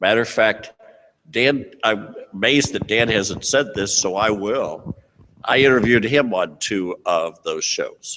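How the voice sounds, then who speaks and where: A loud man talks at a fairly slow pace with a medium pitch and ordinary pitch variation. His tone is bright and sharp. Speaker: tax professional. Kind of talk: panel talk.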